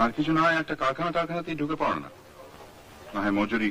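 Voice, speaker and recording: A man's fairly high voice rises and falls with lively intonation over light background noise. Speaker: film director. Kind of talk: film dialogue dub. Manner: natural, own normal voice. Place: studio. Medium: dub.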